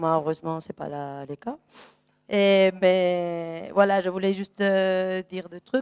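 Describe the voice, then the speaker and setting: A woman's fairly low voice with a slight Spanish accent and fairly even intonation, dry and close with no echo, on a very clean recording over a silent background. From Spain. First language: Spanish (speaking French). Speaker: audience member. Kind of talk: public debate comment.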